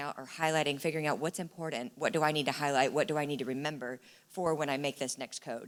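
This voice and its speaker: In a very clean recording with a silent background, a woman with a very deep, low pitch speaks at a very fast pace with fairly even intonation. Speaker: instructional coach. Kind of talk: conference presentation.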